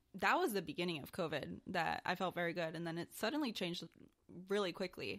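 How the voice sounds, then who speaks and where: A woman speaks in a normal speaking voice with a fairly low pitch. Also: ordinary pitch variation, fairly quick pace. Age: 20s. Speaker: podcast co-host. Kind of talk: casual chat.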